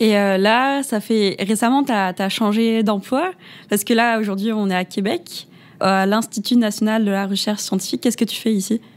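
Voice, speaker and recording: Her voice is an unremarkable speaking voice, a woman at a moderate pace with a fairly high pitch and ordinary pitch variation. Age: 20s. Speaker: podcast host. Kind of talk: interview.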